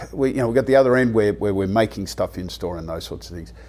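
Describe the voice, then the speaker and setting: Speaking with an Australian accent, a man keeps his voice at a medium pitch. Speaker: convenience retail expert. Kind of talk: interview. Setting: hotel room.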